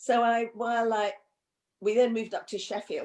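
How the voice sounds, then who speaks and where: Very clean, silent-background recording of a woman with an English accent at a moderate pace. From England, of Indian family. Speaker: counsellor and psychotherapist. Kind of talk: interview conversation. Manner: hesitant, many fillers and repeats.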